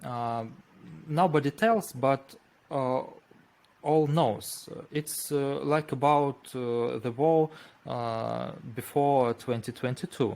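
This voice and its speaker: A man with a Russian accent speaks at a very slow pace, with long, frequent pauses. His pitch variation is ordinary. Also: medium pitch for a man. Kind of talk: interview. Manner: halting.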